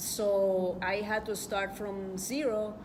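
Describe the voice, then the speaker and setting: Heard with audible room echo and noticeable background noise, a woman speaks at a medium pitch with a Spanish accent. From El Salvador. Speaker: journalist and book author. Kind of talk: book presentation speech. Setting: event hall with audience. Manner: halting.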